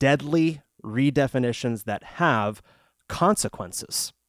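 Recorded very cleanly against a silent background, a man talks at a medium pitch with ordinary pitch variation, and the sound is dry and close with no echo. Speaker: radio co-host. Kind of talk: casual chat.

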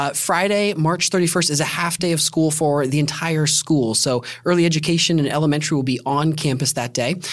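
With an American accent, a man speaks at a moderate pace and ordinary pitch variation over noticeable background noise. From Indiana. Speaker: school podcast host. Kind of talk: casual podcast chat.

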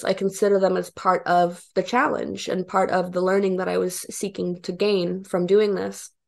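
A woman's medium-pitched voice at a moderate pace, over a quiet background. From Arkansas (Bentonville), born in Romania. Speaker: filmmaker and comedian. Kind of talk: interview.

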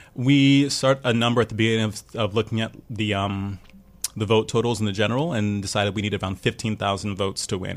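Talking at a very fast pace, a man with a fairly low pitch speaks with an American accent. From New York City, Brooklyn. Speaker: school teacher and former city council candidate. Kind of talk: radio interview. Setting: radio studio.

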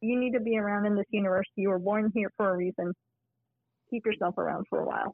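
A woman with an American accent talks at a very fast pace in a flat, monotone intonation. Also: medium pitch for a woman. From Arizona, US. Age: 40s. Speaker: clinical research professional. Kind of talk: casual interview.

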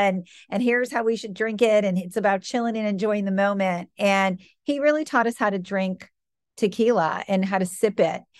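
With an American accent, a woman speaks in an unremarkable speaking voice at a medium pitch with ordinary pitch variation. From US Midwest, Michigan. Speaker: business executive. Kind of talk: interview.

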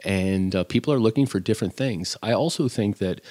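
A man speaks at a fairly quick pace with a fairly low pitch and ordinary pitch variation. The recording is very clean, with a silent background. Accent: Midwestern American. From US Midwest. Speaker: chef. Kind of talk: casual chat. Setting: at home.

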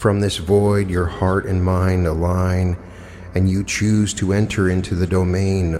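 In a very deep, low, calm and soothing voice, a man talks fairly slowly with monotone, flat intonation and very even loudness over noticeable background noise. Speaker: meditation guide. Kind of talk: guided meditation. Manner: slow, calm, soothing, with long pauses; hypnotic, gentle, dreamy.

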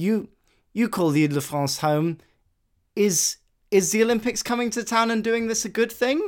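A man's high-pitched voice with lively intonation at a moderate pace, long pauses coming often, on a very clean recording with a silent background. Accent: British. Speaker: podcast host. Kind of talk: casual interview. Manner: animated.

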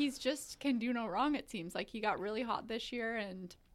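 A woman with a fairly high pitch talks very fast. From western Canada (grew up partly in Kelowna, BC). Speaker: team media personality. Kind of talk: casual sports chat.

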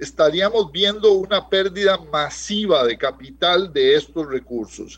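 A man speaks fairly slowly in a normal speaking voice, his pitch varying in an ordinary way. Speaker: economist. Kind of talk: radio interview.

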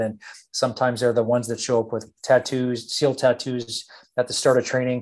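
A man with an American accent talks at a fairly quick pace in a plain, everyday voice of medium pitch. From Texas. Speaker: company founder and former Navy SEAL officer. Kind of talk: interview conversation.

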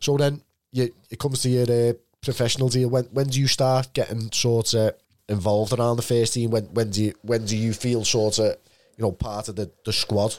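Recorded very cleanly against a silent background, a man with a Liverpool accent speaks at a medium pitch. His pace is fairly quick and his intonation fairly even. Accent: Scouse. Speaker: podcast host. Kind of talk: casual interview.

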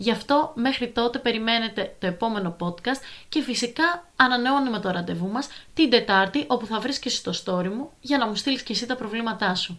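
A woman with a fairly high voice speaks at a moderate pace with lively intonation. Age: 20s. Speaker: podcast host, advice giver. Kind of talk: casual advice podcast monologue. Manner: animated.

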